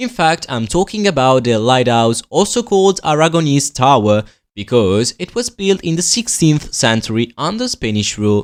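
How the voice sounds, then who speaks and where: Speaking in an Italian accent, a man uses a fairly high voice. His pitch swings very widely, with hardly any pauses. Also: moderate pace. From southern Italy, Basilicata. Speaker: university student presenting his hometown. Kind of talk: scripted narration.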